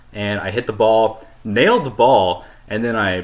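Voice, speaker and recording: With noticeable background noise behind him, a man speaks at a fairly low pitch with fairly even intonation. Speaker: podcast co-host. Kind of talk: casual chat. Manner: monotone; deadpan.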